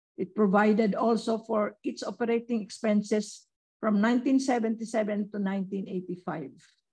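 A woman's fairly high, somewhat breathy voice with a dark, mellow tone, ordinary pitch variation and a very slow pace. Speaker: former research center director. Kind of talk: speaker introduction.

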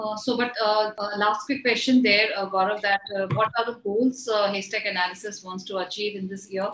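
A woman speaks with fairly even intonation. There is light background noise and audible room echo. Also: medium pitch for a woman, moderate pace. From India. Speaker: health channel host. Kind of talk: scripted introduction; interview. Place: office.

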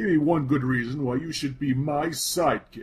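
This man speaks at a fairly slow pace in a fairly high pitch. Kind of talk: comic overacting. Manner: pompous, boastful, breezy.

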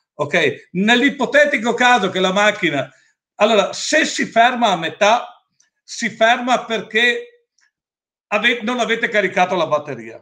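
A man's raised, projected voice, high in pitch with a bright, sharp tone, at a fairly slow pace with long, frequent pauses against a quiet background. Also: lively intonation. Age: 60s. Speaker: company owner presenting products; presenter. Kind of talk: product presentation with Q&A. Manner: assertive. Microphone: webcam.

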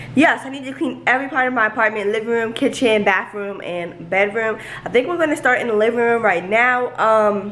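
With light background noise, a woman talks with hardly any pauses and ordinary pitch variation. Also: fairly quick pace. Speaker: vlogger. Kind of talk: casual vlog chat. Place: home room. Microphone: phone near.

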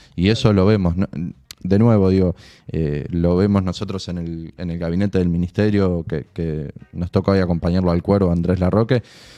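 With faint music in the background, a man speaks in a very deep, low pitch and fairly even intonation. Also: moderate pace. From Maipú, Buenos Aires province, Argentina; Buenos Aires province, Argentina. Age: 20s. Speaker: provincial government official; guest. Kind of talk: casual interview chat. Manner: halting, many fillers and repeated words. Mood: calm, thoughtful. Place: studio. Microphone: studio mic.

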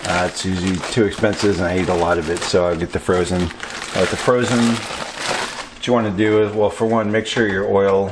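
Against noticeable background noise, a man talks at a moderate pace with hardly any pauses. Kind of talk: tutorial. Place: kitchen. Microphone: camera far.

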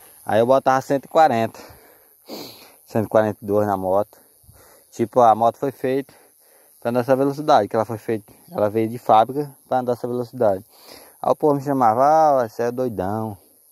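Against a quiet background, a man at medium pitch speaks with ordinary pitch variation and long, frequent pauses, the sound dry with no echo. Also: moderate pace. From Brazil. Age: 20s. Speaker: motorcycle vlogger; motorbike vlogger. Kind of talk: casual vlog monologue. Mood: motivational, defiant. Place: open country. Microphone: phone near.

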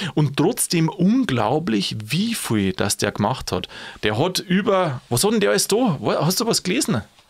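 A man with a Bavarian accent talks at a very slow pace with vocal fry, very wide pitch swings and very even loudness. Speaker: podcast host. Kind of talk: podcast conversation.

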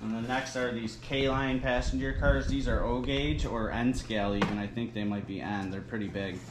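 With hardly any pauses, a man speaks at a moderate pace and ordinary pitch variation against noticeable background noise. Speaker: reseller showing a haul. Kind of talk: casual haul video commentary. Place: home room. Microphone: phone near.

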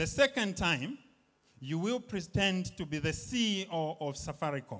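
Over a quiet background, a man talks at a moderate pace in a high pitch with very wide pitch swings. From Zambia. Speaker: stand-up comedian. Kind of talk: stand-up comedy set. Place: stage. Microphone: handheld.

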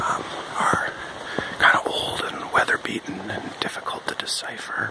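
Whispered speech comes through with noticeable background noise. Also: moderate pace. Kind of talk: ASMR outdoor walk narration. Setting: outdoors. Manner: soft-spoken, whispered.

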